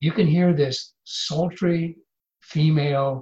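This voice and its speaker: Somewhat breathy, a man talks with an American accent. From US Midwest (Iowa). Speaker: former intelligence officer, professor. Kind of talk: interview.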